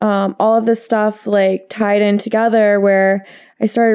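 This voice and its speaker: The speech is delivered in a flat monotone at a moderate pace. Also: woman. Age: 20s. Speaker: model and reiki therapist. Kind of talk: casual chat. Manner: loud.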